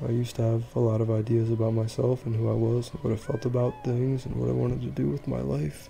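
A man's medium-pitched voice at a very fast pace with ordinary pitch variation, over noticeable background noise. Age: 20s. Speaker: vlogger and small business owner. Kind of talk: personal monologue vlog. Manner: halting.

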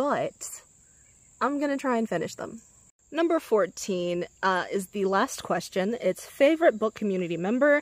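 Using very wide pitch swings, a woman speaks at a fairly slow pace with long, frequent pauses. The sound is dry with no echo, and the background is quiet. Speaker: booktuber; book vlogger. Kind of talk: casual vlog talk. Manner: unenthused. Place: garden. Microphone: phone near.

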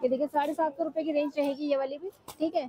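Speech comes at a fairly quick pace in a dry sound with no echo. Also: woman. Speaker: market vlogger. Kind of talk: casual product showcase commentary. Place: shop. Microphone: phone near.

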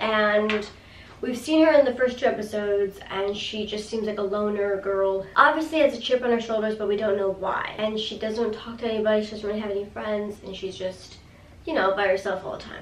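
A woman with a fairly high pitch talks at a fairly quick pace and fairly even intonation. Room echo is audible, along with light background noise. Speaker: YouTuber reviewing TV episodes. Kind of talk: casual video review. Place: home room.

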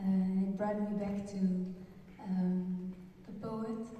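A woman talks at a very slow pace with monotone, flat intonation. Strong room echo and light background noise surround her voice. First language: Dutch. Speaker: poet. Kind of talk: conference remarks. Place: hall.

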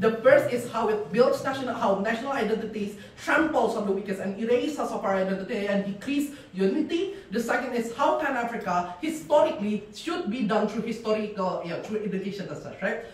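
The speech moves at a fairly quick pace with audible room echo. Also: hardly any pauses. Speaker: debater. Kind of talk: competitive debate speech. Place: classroom. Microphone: camera far.

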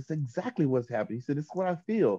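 A man talks at a very fast pace with lively intonation and a dark, mellow tone. The background is quiet. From US South, Chattanooga, Tennessee; Tennessee. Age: 50s. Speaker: vocalist and vocal coach; vocal coach guest. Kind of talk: casual interview; interview answer. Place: studio. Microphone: video call.

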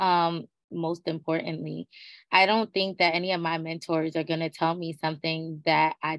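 A woman's fairly low voice at a moderate pace, dry with no echo, over a quiet background. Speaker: doctoral student; webinar panelist. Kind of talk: webinar panel discussion. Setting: video call. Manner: casual, slangy. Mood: warm, smiling, animated. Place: home room. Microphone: video call.

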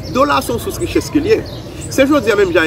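A man rattles along very fast while noticeable noise fills the background. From Haiti. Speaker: economist; economic commentator guest. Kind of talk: expert analysis. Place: garden.

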